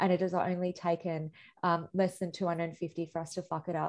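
Someone with an Australian accent speaks at a moderate pace against a quiet background. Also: woman. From India. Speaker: activist and artist. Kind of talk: interview conversation. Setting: video call.

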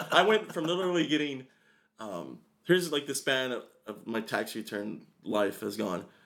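Vocal fry runs through speech at a moderate pace with very wide pitch swings. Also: man, medium pitch for a man. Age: 20s. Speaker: comedian and college student. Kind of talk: casual chat. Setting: studio.

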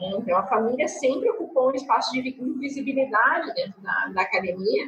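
Very wide pitch swings and a fairly quick pace from a woman with a high pitch. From interior of Rio Grande do Sul, Brazil. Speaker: university professor. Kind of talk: casual chat.

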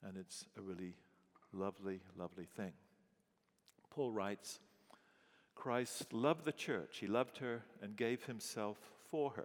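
A man with an English accent speaks at a fairly slow pace and a fairly low pitch. His long, frequent pauses break up speech with ordinary pitch variation. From England. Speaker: pastor. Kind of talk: sermon.

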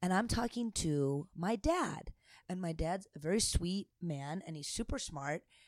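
At a fairly slow pace, a woman with an American accent speaks in a plain, everyday voice of medium pitch, lively in intonation, with a dry, close sound and no echo. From United States. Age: 30s. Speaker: podcast co-host, stand-up comedian. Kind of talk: casual chat.

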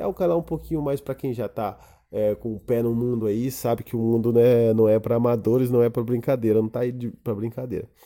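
On a very clean recording with a silent background, a man with a dark, mellow tone and medium pitch talks at a fairly quick pace. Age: 30s. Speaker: podcaster. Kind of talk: solo monologue. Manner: halting, many fillers.

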